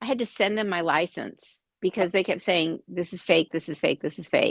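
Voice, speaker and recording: A woman's bright, sharp voice with an American accent at a moderate pace, with ordinary pitch variation and a dry, close sound without echo. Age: 60s. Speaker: anti-piracy company representative. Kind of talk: casual chat.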